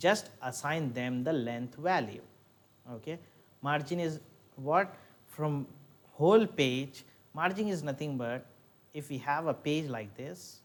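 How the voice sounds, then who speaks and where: A man's fairly high voice with lively intonation at a fairly slow pace, marked by long, frequent pauses. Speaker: lecturer. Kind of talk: lecture.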